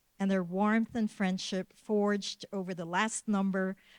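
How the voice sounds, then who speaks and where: A woman speaks at a moderate pace and medium pitch. The recording is very clean, with a silent background. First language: Filipino. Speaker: museum curator. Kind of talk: formal closing remarks and acknowledgments. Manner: formal.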